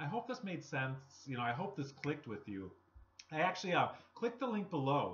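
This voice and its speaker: With light background noise, a man with vocal fry talks at a fairly quick pace and a fairly high pitch, his pitch swinging very widely and his speech broken by long, frequent pauses. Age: 30s. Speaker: network marketing vlogger. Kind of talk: motivational talk to camera. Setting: home recording. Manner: casual, conversational. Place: home room. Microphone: webcam.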